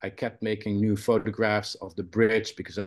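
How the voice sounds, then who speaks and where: A man with a Dutch accent speaks against a quiet background. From Netherlands. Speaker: photographer and college professor. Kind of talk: presentation on video call. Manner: hesitant, many fillers.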